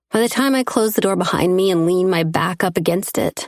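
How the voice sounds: The voice reads in a natural manner.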